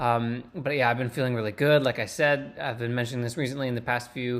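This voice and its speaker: Speaking very fast, a man keeps a medium pitch and fairly even intonation. The recording is very clean, with a silent background. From Canada (Burlington, Ontario). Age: 20s. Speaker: competitive climber, vlogger. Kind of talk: casual vlog talk to camera. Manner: casual, many fillers and restarts.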